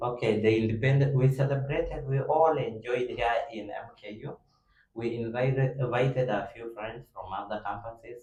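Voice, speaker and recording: A man with a non-native accent, medium pitch and a dark, mellow, somewhat breathy tone, fairly even intonation and big swings in loudness. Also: moderate pace. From South Sudan. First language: not English. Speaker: university student, debate club member. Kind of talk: casual group discussion.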